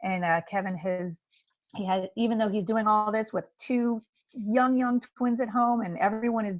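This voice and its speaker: A woman's ordinary speaking voice, fairly high in pitch, at a moderate pace with fairly even intonation. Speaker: town hall host, advocate. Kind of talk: video call town hall moderation. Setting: video call.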